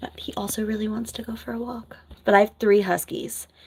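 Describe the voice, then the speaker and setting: Soft-spoken delivery at a moderate pace in an American accent. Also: woman. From New Jersey. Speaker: nurse and content creator. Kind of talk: casual livestream chat. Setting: home office livestream.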